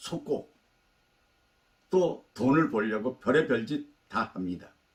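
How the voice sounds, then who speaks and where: Lively intonation marks a man's medium-pitched voice, delivered at a very slow pace. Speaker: life-advice YouTuber. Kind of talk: talk to camera, life lecture.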